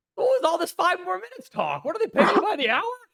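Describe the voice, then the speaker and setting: A man talks at a very fast pace in a raised, projected voice. His tone is animated. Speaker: chess streamer. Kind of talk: casual chat. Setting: live stream.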